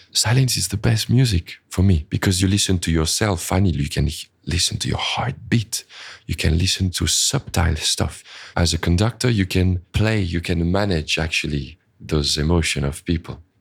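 On a very clean recording with a silent background, a man with a French accent speaks at a moderate pace, somewhat breathy, with a very deep, low pitch and ordinary pitch variation. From France or French-speaking Switzerland. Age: 30s. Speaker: orchestra conductor. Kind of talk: interview. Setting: recorded in a shop.

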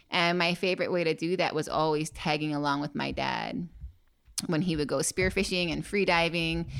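On a very clean recording with a silent background, a woman speaks at a moderate pace in a fairly low pitch, with vocal fry and fairly even intonation. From Hawaii, Maui. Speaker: free diver and spearfisher. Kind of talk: casual interview. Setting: parents' house.

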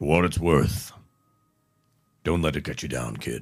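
Over music in the background, a man uses a put-on character voice. It is gruff and very deep, with a low pitch. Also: moderate pace.

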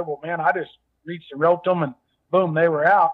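A man with a Texas accent, high in pitch, at a very fast pace. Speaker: former actor and rodeo cowboy. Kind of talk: casual interview.

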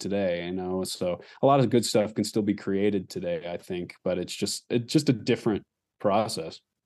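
A man with an American accent has a normal speaking voice, a fairly low pitch and ordinary pitch variation. He talks at a moderate pace against a quiet background. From Alaska and Texas. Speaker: musician. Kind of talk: interview. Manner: casual, with fillers.

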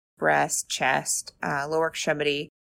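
A woman talks with vocal fry and a very deep, low pitch. The recording is very clean, with a silent background. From Arizona, US. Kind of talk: casual interview.

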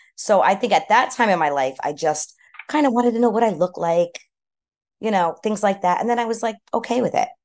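Speaking at a fairly quick pace with an American accent, the voice swings very widely in pitch. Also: woman, fairly high pitch for a woman. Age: 50s. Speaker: hairstylist and salon owner. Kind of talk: personal testimony in interview.

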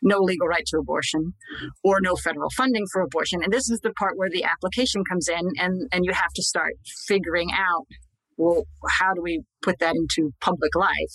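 A woman with an American accent and a fairly low pitch speaks at a moderate pace with vocal fry, in a dry, close sound with no echo. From Scranton, Pennsylvania. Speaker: magazine editor and writer. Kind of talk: interview. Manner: repeats words when starting a thought.

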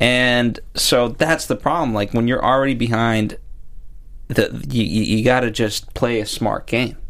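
Speaking in a normal speaking voice, a man with a medium pitch talks fairly slowly, with fairly even intonation and very even loudness. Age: 20s. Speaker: TV aftershow podcast co-host. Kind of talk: casual chat.

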